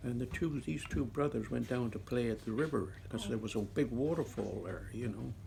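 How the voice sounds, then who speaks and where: Lively intonation from a man with vocal fry at a medium pitch, fairly quick and with hardly any pauses. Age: 80s+. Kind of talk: interview answer. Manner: casual, conversational.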